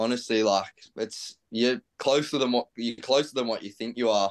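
An Australian-accented man speaks at a moderate pace. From Australia, Central Coast NSW. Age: 20s. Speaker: professional footballer. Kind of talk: casual interview.

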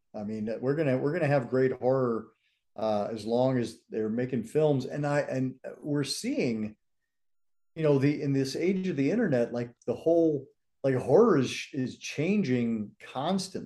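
A man's medium-pitched voice, dark and mellow in tone, at a moderate pace with lively intonation. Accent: American. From US West, San Francisco Bay Area and Colorado. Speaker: horror historian and actor. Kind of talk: casual chat.

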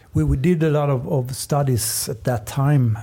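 A man with a Swedish accent speaks in a dark, mellow tone that is somewhat breathy. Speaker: paddling coach. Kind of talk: casual chat.

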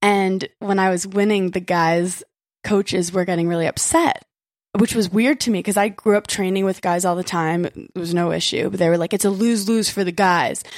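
In a plain, everyday voice, a woman speaks at a moderate pace with medium pitch. Her intonation is fairly even, and the recording is very clean with a silent background. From Brooklyn, New York. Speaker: reality TV personality. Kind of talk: casual chat. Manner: casual, filler-heavy.

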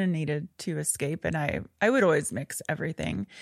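With vocal fry and lively intonation, the voice comes through a very clean recording with a silent background and a dry, close sound with no echo. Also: woman. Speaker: wellness entrepreneur and mental health advocate. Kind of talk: interview, personal testimony.

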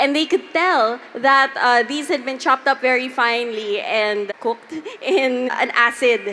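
Amid noticeable background noise, a woman with a high pitch uses a raised, projected voice at a fairly slow pace with ordinary pitch variation. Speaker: podcast host. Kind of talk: live panel storytelling. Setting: stage with audience.

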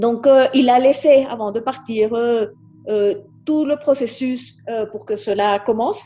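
A very slow pace with ordinary pitch variation. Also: woman, high pitch for a woman. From Colombia. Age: 50s. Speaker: naturalist and politician. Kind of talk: interview. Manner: halting.

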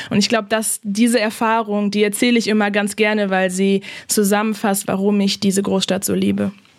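Speaking at a fairly quick pace, a woman keeps a medium pitch, very even loudness and a monotone, flat intonation. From Germany. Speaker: human rights lawyer. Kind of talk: interview. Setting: remote call.

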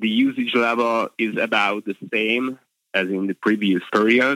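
A man with a Hungarian accent speaks at a fairly slow pace. His fairly low voice is bright and sharp, the sound dry and close with no echo. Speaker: motoring journalist. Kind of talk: interview. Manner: hesitant, with fillers.

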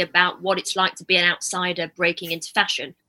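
This woman talks very fast at a medium pitch. Her tone is bright and sharp, and the sound is dry and close with no echo. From northern England, Manchester. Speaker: magazine editor. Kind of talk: casual conversation.

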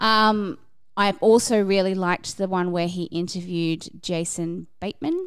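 At a moderate pace, a woman uses an ordinary speaking voice with medium pitch and ordinary pitch variation. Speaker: podcast reviewer. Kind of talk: casual chat.

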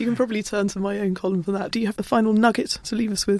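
A woman at a very fast pace, medium pitch and fairly even intonation, with a slightly mellow tone and a dry, close sound with no echo.

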